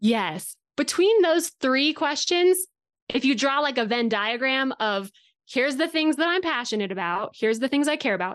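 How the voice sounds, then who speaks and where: With a Western US accent, a woman speaks at a moderate pace in a high pitch with very wide pitch swings against a quiet background. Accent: General American (Western US). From Colorado, US. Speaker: equine industry company director. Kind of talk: casual interview chat.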